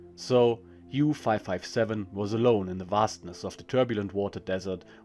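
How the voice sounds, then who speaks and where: Music plays in the background as a man speaks with a German accent at a moderate pace. His pitch is fairly low and his intonation fairly even. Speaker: history channel narrator. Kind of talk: reading aloud; casual intro.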